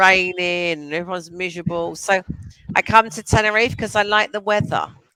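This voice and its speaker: A bright, sharp tone in a London accent with big swings in loudness. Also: woman, medium pitch for a woman, fairly even intonation. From England, London. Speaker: online English tutor. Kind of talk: casual chat.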